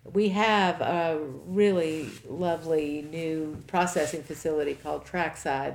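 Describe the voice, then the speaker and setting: A woman speaks with an American accent and a very deep, low pitch. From Kentucky, Henry County. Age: 50s. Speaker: farmer and nonprofit director. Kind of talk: interview.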